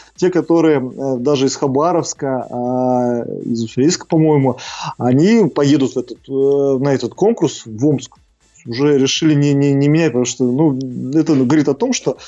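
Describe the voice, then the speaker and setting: Over music in the background, a man speaks at a moderate pace with a fairly high pitch. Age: 30s. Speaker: crematorium director. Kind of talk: interview.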